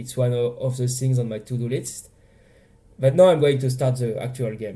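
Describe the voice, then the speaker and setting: A man speaks with a French accent in a dark, mellow tone. His voice is somewhat breathy. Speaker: indie game developer. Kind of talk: casual dev blog talk over gameplay.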